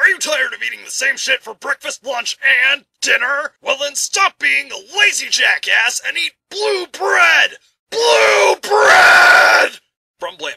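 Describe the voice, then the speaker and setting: Shouting at an extremely high pitch, at a fairly slow pace. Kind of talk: comic commercial announcer. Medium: fan dub. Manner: pushy, shouting, salesy.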